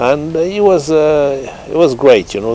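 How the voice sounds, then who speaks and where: With a French accent, a man speaks at a moderate pace with ordinary pitch variation, and there is noticeable background noise. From France. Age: 70s. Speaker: racehorse trainer. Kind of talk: interview. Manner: halting.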